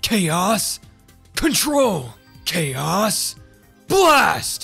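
A man puts on a character voice while clear music plays in the background. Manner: cold, intense, serious.

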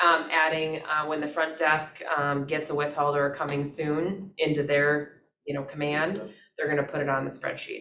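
Audible room echo around a woman's very deep, low, monotone, flat voice at a moderate pace. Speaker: real estate agent. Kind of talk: team meeting discussion. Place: meeting room. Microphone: camera far.

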